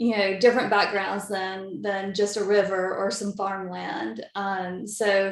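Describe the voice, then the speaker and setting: A woman in a Southern US accent, medium-pitched, at a fairly slow pace with monotone, flat intonation and hardly any pauses. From Mississippi, US South. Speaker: aerial photographer. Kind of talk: interview.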